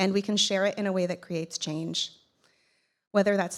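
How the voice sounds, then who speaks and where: A woman's medium-pitched, monotone voice with flat intonation, in a very clean recording with a silent background. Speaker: keynote speaker and podcast host. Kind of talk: conference keynote speech. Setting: stage with audience. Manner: voice shakes when speaking about son; emotional, earnest.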